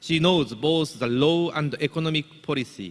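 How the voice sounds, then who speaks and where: Speaking in a Japanese accent, a man talks at a fairly slow pace. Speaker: business association leader introducing keynote speaker. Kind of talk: formal speech introduction. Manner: formal.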